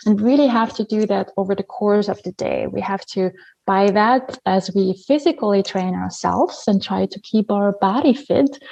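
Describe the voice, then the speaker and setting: At a moderate pace, a woman speaks in an Austrian accent at medium pitch with ordinary pitch variation and a dark, mellow tone, the sound dry and close with no echo. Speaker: habit coach. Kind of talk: podcast interview.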